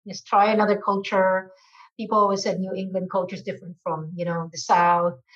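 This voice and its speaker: A woman speaks at a fairly quick pace, her somewhat breathy voice keeping a fairly even intonation. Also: medium pitch for a woman. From Philippines. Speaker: marketing executive. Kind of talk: interview. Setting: video call.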